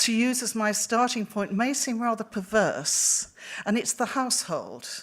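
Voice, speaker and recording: On a very clean recording with a silent background, a woman with a Welsh accent speaks at a fairly slow pace with fairly high pitch. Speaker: researcher. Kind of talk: lecture. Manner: halting.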